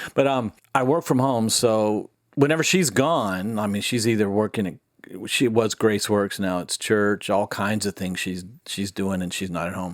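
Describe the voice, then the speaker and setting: Over a silent background in a very clean recording, a man speaks at a moderate pace. His is an unremarkable speaking voice, fairly low in pitch with ordinary pitch variation. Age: 60s. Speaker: military veteran. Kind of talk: casual chat.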